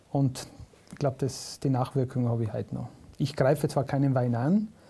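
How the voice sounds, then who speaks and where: A man's somewhat breathy, dark, mellow voice at medium pitch, fairly even intonation, on a very clean recording with a silent background. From South Tyrol. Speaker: comedian. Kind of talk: casual interview chat.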